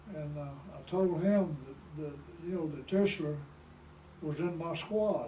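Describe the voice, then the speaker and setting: Delivered with a Southern US accent at a fairly slow pace, the speech has long, frequent pauses and fairly even intonation. Loudness swings widely, and room echo is audible. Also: man, high pitch for a man. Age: 80s+. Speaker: war veteran. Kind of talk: oral history interview. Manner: halting.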